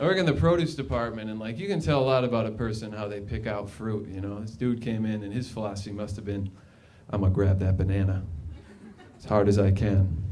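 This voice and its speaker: A man with an American accent at a very fast pace, fairly low in pitch with ordinary pitch variation, amid noticeable background noise and audible room echo. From Minnesota, suburbs. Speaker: stand-up comedian. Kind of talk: stand-up. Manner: halting.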